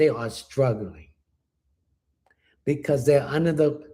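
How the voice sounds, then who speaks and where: A man's dark, mellow tone. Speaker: spiritual reader. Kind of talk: livestream chat with viewers. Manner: soft-spoken.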